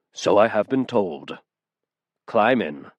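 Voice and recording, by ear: This man uses a put-on character voice. His pitch sits fairly low.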